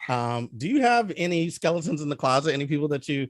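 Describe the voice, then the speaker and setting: A man's fairly high voice comes through dry and close, with no echo. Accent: strong Philadelphia. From Philadelphia. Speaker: film review show host. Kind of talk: casual chat.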